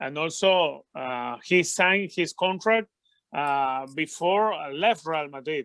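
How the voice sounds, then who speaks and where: A man talks with a Venezuelan accent at a fairly high pitch. The sound is dry and close, with no echo. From Venezuela, Caracas. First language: Spanish. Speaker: football commentator. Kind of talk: interview. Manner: halting, many fillers.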